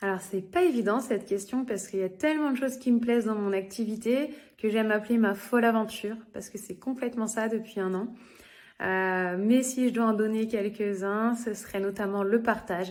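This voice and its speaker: A woman at a moderate pace, with fairly high pitch and fairly even intonation. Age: 30s. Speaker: direct sales consultant. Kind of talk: interview testimony. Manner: hesitant, many fillers.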